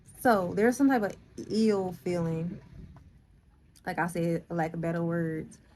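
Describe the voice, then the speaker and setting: Using long, frequent pauses, a woman speaks at a fairly slow pace in a fairly low pitch with a dark, mellow tone and ordinary pitch variation. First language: not English. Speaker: spiritual vlogger. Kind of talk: casual vlog monologue. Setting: in a car. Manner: halting, with fillers and restarts.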